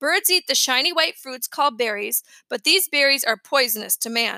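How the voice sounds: In a put-on character voice, a woman speaks high and at a moderate pace, her bright, sharp tone carrying vocal fry and lively intonation, with a dry, close sound and no echo.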